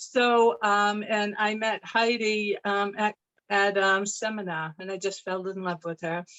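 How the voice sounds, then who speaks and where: A woman with an American accent talks at a fairly slow pace and a medium pitch. Her intonation is fairly even. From Maine, US. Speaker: sales consultant. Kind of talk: video call group meeting.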